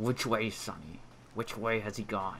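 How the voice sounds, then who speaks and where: In a put-on character voice, a man talks at a moderate pace and medium pitch with clear background noise. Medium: read story. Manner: fawning yet sneering, wheedling.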